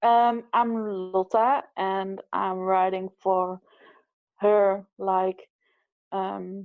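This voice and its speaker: The speaker has a non-native accent and a monotone, flat delivery. The pace is very slow, with long, frequent pauses. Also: woman, medium pitch for a woman. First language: not English. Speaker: abuse survivor, writer. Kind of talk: personal testimony. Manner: halting, many fillers.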